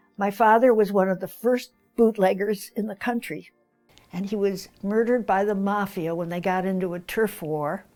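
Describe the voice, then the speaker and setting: A woman at medium pitch, moderate in pace and fairly even in intonation, with music in the background. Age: 80s+. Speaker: novelist. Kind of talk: interview answer.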